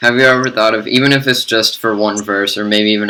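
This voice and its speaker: A man's fairly low, flat monotone at a very fast pace, with an American accent and noticeable background noise. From United States. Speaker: podcast host. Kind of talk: interview.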